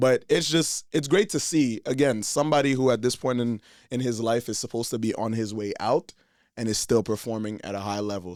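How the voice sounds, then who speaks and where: On a very clean recording with a silent background, a man speaks fairly quickly at medium pitch with ordinary pitch variation. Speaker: football show host. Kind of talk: casual chat. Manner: animated.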